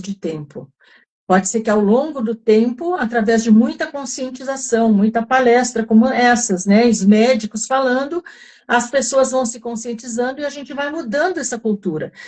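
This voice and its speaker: A woman speaks at a moderate pace in a high voice, with ordinary pitch variation. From southern Brazil (Rio Grande do Sul). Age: 70s. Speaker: wellness group facilitator. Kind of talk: live online talk. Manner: halting, many fillers.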